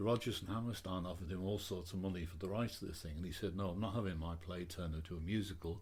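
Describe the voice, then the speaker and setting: Somewhat breathy and very deep, low in pitch, a man talks at a very fast pace with fairly even intonation. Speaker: stadium announcer and DJ. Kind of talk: interview answer.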